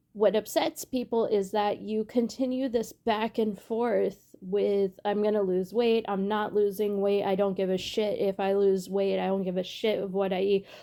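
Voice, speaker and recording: A woman's dark, mellow, medium-pitched voice at a moderate pace, with hardly any pauses and fairly even intonation. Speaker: reaction commentator. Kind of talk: casual commentary.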